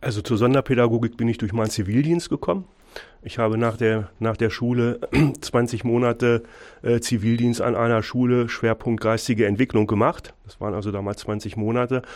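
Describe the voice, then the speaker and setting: In a normal speaking voice, a man keeps a medium pitch. His pace is moderate, his intonation fairly even. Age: 50s. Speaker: school principal. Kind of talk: radio interview.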